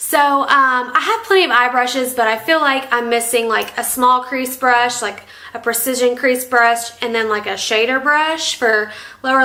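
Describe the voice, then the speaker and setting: Someone with an American accent speaks with fairly even intonation amid audible room echo. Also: woman. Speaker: beauty vlogger. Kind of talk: casual product review. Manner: chatty, filler-heavy.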